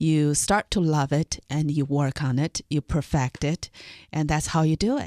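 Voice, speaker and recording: With a Chinese accent, a woman with a very deep, low pitch and a dark, mellow tone talks at a fairly slow pace, her intonation fairly even and her loudness very even, in a dry, close sound with no echo. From northern China. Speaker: lawyer. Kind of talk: radio interview.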